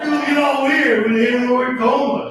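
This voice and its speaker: Audible room echo surrounds a man speaking with an American accent at an extremely high pitch. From Chicago. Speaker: stand-up comedian. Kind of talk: stand-up. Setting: stage with audience.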